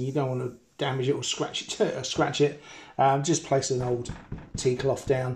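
This man's voice is somewhat breathy. He moves along at a fairly quick pace. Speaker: hobbyist radio repairer. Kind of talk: tutorial. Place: kitchen. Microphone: phone near.

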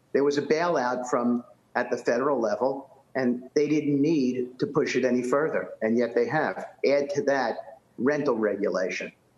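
Amid audible room echo, a man with a New York accent speaks at a moderate pace and fairly high pitch, with ordinary pitch variation and very even loudness. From New York City (Bronx); New York City. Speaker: real estate developer; guest. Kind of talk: TV news interview; interview answer. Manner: halting, with many repetitions and fillers. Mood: critical, emphatic. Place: home room. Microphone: webcam.

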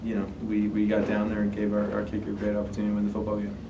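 In a room with audible echo, a man speaks at a fairly low pitch.

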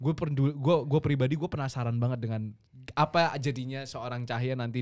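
Against a quiet background, the pitch varies in an ordinary way. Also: man. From Indonesia. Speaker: gaming podcast host. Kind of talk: casual chat. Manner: animated. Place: studio. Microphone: studio mic.

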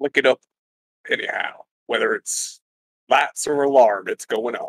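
A man uses a put-on character voice. His pace is moderate. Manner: brash, trigger-happy, impatient.

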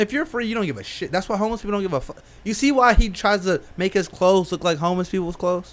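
A man talks at a very fast pace with hardly any pauses. His voice is high, with ordinary pitch variation. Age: 20s. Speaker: podcast co-host. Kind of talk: casual chat. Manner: animated, laughing. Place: studio. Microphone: studio mic.

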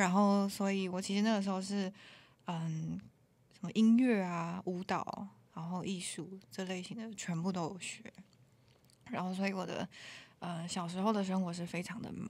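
A woman speaks at a moderate pace and medium pitch, with fairly even intonation, big swings in loudness, and long, frequent pauses. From Taiwan, Taoyuan. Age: 20s. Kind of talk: casual chat. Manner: languid.

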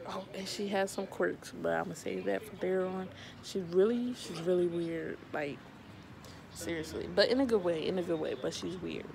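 Noticeable background noise behind a woman's moderate pace. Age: 20s. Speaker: vlogger; pet owner vlogger. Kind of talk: casual vlog talk to camera; casual vlog chat. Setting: sitting on the floor at home. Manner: hesitant, many fillers. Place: home room. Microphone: phone near.

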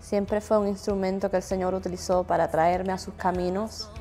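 A woman in a Cuban accent, with monotone, flat intonation and faint music in the background. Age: 20s. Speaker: gospel singer. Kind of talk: interview answer. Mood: reflective, personal testimony. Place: home room. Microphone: lapel.

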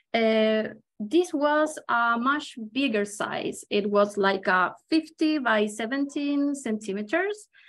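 Speaking at a very slow pace with hardly any pauses, a woman with a Chilean accent uses a fairly high pitch and lively intonation. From Chile, Santiago. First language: Spanish. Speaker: watercolor artist and illustrator. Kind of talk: live painting demonstration. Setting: video call. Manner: halting, many fillers. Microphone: video call.

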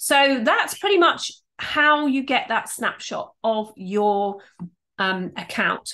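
A woman speaks in a high, raised, projected voice at a very slow pace, her pitch swinging very widely. The background is quiet. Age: 50s. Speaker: YouTube and video marketing coach; video marketing coach. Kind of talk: tutorial. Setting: screen share recording.

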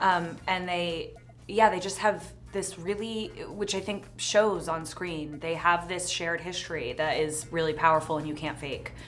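Faint music plays in the background as a woman with an American accent speaks at a moderate pace, her voice fairly low with ordinary pitch variation. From New Jersey. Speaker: actress. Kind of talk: interview answer. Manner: casual, conversational. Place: studio.

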